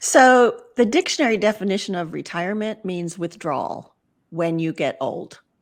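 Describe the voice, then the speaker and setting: A woman with an unremarkable speaking voice, medium pitch, lively intonation and a moderate pace, in a very clean recording with a silent background. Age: 60s. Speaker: retirement transitions coach, podcaster. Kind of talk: podcast interview.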